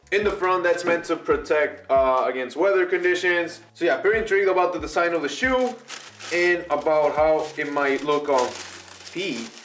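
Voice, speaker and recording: Speaking at a moderate pace with an animated tone, a man uses a high pitch. Audible room echo and noticeable background noise surround him. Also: ordinary pitch variation. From Mexico. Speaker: sneaker youtuber. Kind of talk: unboxing video. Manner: casual, animated.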